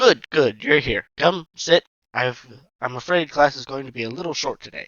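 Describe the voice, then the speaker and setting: In a put-on character voice, a man talks at a fairly high pitch. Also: moderate pace. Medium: read story. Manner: brisk, dry.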